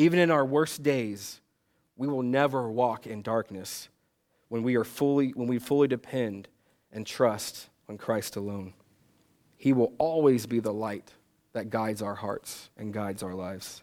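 At a fairly slow pace, a man with an ordinary speaking voice talks at a medium pitch with ordinary pitch variation and big swings in loudness, on a very clean recording with a silent background. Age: 30s. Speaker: pastor. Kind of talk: sermon.

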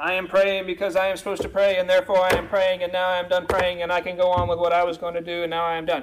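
A man's put-on robotic character voice, high-pitched, very fast and monotone with flat intonation. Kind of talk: deadpan, demonstrating bad prayer. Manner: flat, robotic, monotone, rote.

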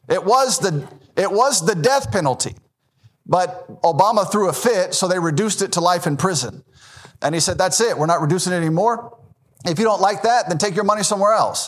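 A man with a Southern US accent talks at a fairly quick pace in a high pitch. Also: ordinary pitch variation. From US South, Memphis, Tennessee. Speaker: Baptist pastor. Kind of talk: sermon.

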